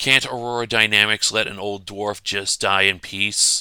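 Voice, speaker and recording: A man uses a put-on character voice, croaky and rumbling, with fairly low pitch, monotone, flat intonation and a moderate pace. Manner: grumbling.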